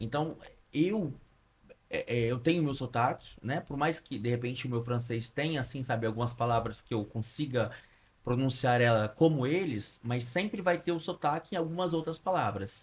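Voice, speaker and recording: A somewhat breathy male voice at medium pitch, with lively intonation. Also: moderate pace. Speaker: podcast host. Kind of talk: casual interview.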